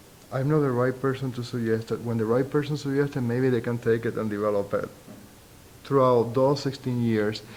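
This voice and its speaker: A man talks at a fairly quick pace with a strong Spanish accent. His pitch is medium and his intonation fairly even. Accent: thick Spanish. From Puerto Rico. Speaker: sociology professor. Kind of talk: interview. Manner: halting.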